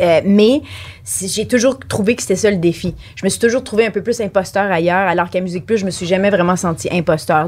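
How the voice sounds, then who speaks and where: With an unremarkable speaking voice, a woman talks fairly quickly at a medium pitch and with ordinary pitch variation. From Franco-Ontarian. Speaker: former music TV VJ. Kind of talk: casual chat.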